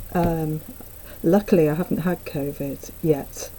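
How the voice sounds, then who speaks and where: The delivery is fairly slow. There is little rise and fall, the intonation being fairly even. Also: woman. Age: 60s. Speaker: amateur cyclist and vlogger. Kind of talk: casual talk to camera. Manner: hesitant, conversational.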